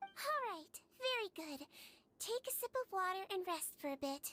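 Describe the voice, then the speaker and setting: Putting on a squeaky character voice, a woman speaks at an extremely high pitch with very wide pitch swings, a gentle, soothing tone and a moderate pace. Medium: video game. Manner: gentle, soothing, patient.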